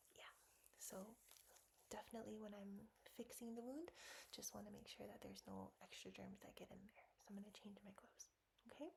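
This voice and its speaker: A woman talks at a fairly quick pace but leaves long, frequent pauses. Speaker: ASMR nurse roleplayer. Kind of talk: ASMR medical roleplay. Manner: speaking softly and kindly to a small child.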